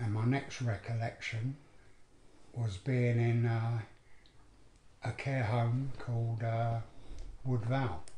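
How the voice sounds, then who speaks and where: With a London accent, a man speaks very slowly in a dark, mellow, somewhat breathy voice, using flat, monotone intonation, very even loudness, and long, frequent pauses, with audible room echo and light background noise. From London, Edmonton. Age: 70s. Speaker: abuse survivor. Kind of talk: testimony. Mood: sombre, reflective recollection. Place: home room.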